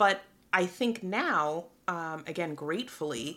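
Over noticeable background noise, a woman with an American accent speaks at a fairly low pitch. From New York City, the Bronx. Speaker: philanthropy executive. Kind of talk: interview. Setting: hotel room.

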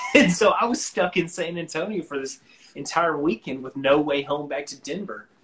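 A man with an ordinary speaking voice, fairly high in pitch, with lively intonation, a moderate pace and big swings in loudness. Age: 20s. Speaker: singer-songwriter. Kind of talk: casual chat. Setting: online live stream.

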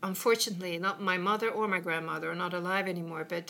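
In a Swedish accent, a woman speaks with a bright, sharp tone and a fairly low pitch. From west coast of Sweden. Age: 50s. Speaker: businesswoman. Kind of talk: casual chat. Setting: in a home.

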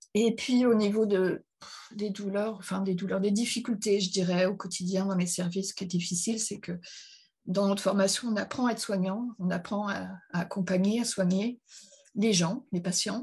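Her voice is medium in pitch and somewhat breathy. The woman keeps a moderate pace and fairly even intonation. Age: 50s. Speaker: psychiatric nurse. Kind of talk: testimony.

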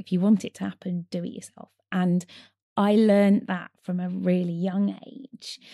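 A woman speaks at a medium pitch and a moderate pace, her dark, mellow tone recorded dry and close with no echo, her intonation fairly even while her loudness swings widely. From Kent then Northumberland, England. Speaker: adaptive rower and charity founder. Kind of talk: interview.

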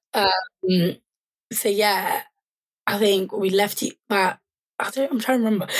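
At a fairly slow pace, a woman speaks at a medium pitch with fairly even intonation, very even loudness and long, frequent pauses. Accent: London. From London. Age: 20s. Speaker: charity founder and sickle cell advocate. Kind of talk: casual chat.

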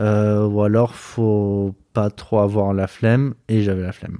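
A man's fairly low voice in a dark, mellow tone, dry and close with no echo, on a very clean recording with a silent background. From Marseille, southern France. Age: 30s. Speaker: cross-border worker interviewed about money. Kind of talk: casual interview. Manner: hesitant, many fillers and repetitions.

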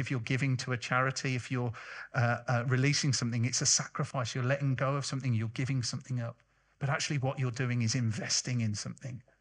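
A man speaks very fast at a medium pitch, somewhat breathy and monotone in his flat delivery, against a quiet background. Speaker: charity worker and guest speaker. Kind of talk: sermon; interview. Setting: church.

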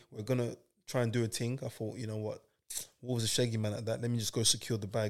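A man talks at a very fast pace in a flat, monotone way. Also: medium pitch for a man. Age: 30s. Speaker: footballer. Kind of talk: casual chat.

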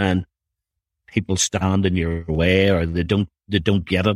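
A man speaks at a fairly slow pace, the sound dry and close with no echo, on a very clean recording with a silent background. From Northern Ireland. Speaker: youth director at a church. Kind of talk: casual interview. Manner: halting, conversational, laughs often.

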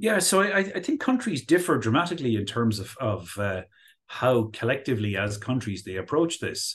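A man with an Irish accent talks at medium pitch and a moderate pace, his pitch swinging very widely. His voice is somewhat breathy over a quiet background. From Ireland. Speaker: professor. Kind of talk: interview discussion, explanatory.

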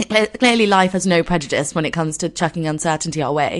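A woman speaks at a fairly quick pace with a croaky voice. Her pitch is fairly low.

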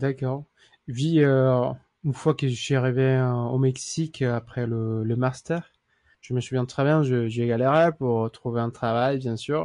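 Speaking very slowly, a man with a medium pitch keeps a dark, mellow tone and fairly even intonation. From Mexico. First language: Spanish (speaking French). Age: 30s. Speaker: lawyer. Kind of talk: interview. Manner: halting.

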